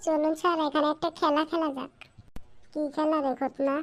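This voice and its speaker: A cartoonish character voice with a high pitch, delivered at a moderate pace. The intonation stays monotone and flat. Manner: eager, deferential.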